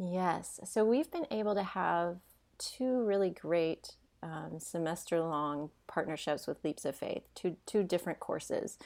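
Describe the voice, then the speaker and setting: With a slight Southern US accent, a woman speaks at a fairly slow pace and a fairly low pitch, her intonation lively. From Tennessee, near Nashville. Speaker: dancer and dance professor. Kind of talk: interview.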